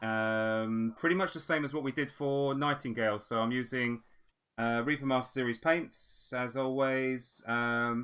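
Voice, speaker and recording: Speaking at a fairly slow pace with an English accent, a man keeps a medium pitch and fairly even intonation on a very clean recording with a silent background. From England, with early childhood in Australia. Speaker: miniature painter and stream host. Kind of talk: casual chat; live-stream painting tutorial with casual chat. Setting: live stream.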